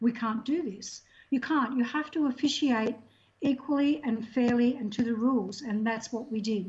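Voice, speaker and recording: High-pitched woman at a moderate pace, with ordinary pitch variation. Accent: Australian. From Australia. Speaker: swimming technical official. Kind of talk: interview.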